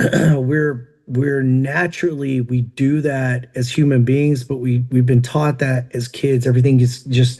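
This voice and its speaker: Over noticeable background noise, a man with an American accent talks at a fairly slow pace and medium pitch, with monotone, flat intonation and hardly any pauses. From Tennessee. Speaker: country rock singer and entrepreneur. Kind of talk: podcast interview. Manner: casual, many fillers.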